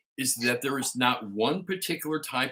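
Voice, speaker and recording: In a Chicago accent, a man talks at a moderate pace with a bright, sharp tone and lively intonation. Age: 50s. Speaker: pipe-smoking livestream host. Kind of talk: casual live chat. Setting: living room livestream.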